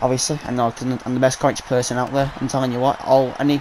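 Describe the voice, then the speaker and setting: A man talks at a fairly quick pace with a British accent. His pitch is medium, and there is noticeable background noise. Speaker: gaming YouTuber. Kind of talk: live game commentary. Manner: fast; animated.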